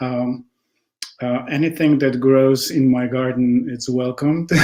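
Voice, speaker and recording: Speaking very slowly in a Polish accent, a man keeps a medium pitch. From Poland. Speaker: textile artist. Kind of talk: interview testimony. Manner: halting with many fillers.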